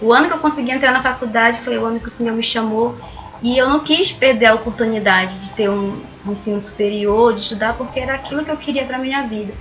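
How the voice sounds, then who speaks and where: Amid noticeable background noise and audible room echo, a woman talks at a very fast pace in a fairly high pitch with ordinary pitch variation. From northern Brazil. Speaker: missionary. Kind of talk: testimony.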